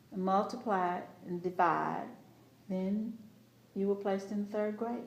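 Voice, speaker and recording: Over noticeable background noise and audible room echo, a woman with an American accent speaks fairly slowly at a medium pitch with monotone, flat intonation. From Texas, Lamar County. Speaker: oral history interviewee. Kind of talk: oral history interview. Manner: halting.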